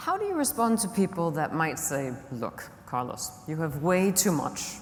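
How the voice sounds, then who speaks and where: A woman's fairly low voice at a fairly slow pace, swinging very widely in pitch, with audible room echo and noticeable background noise. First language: not English. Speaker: conference moderator. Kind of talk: panel conversation. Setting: conference stage.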